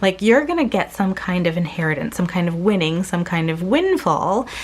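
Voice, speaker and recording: Lively intonation carries through noticeable background noise. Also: woman. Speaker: tarot reader. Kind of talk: pick-a-card tarot reading. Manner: casual, filler-heavy.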